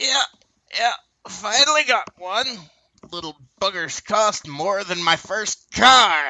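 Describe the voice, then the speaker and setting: Using a put-on character voice, a man projects loudly at a high pitch and fairly slow pace, with long, frequent pauses. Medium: comedy sketch. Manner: grumbling, folksy.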